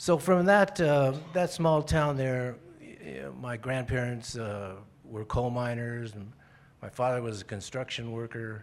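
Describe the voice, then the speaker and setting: A man's medium-pitched voice with lively intonation, big swings in loudness and a fairly slow pace. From Colorado (Florence, rural southern Colorado). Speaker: crime novelist. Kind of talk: interview. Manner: halting.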